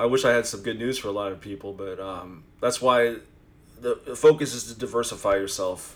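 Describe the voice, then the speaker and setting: A man talks at a fairly quick pace in a medium-pitched, unremarkable speaking voice. His loudness swings widely while his pitch varies in an ordinary way. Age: 40s. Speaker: phone flipper and direct buyer. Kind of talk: casual podcast chat.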